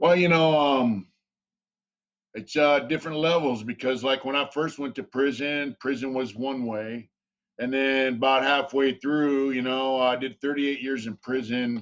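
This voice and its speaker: A man speaks at a fairly slow pace with fairly even intonation and a medium pitch against a quiet background. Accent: American. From San Diego, California, US. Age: 50s. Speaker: ex-prisoner and tattoo artist. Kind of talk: interview. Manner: hesitant, many fillers.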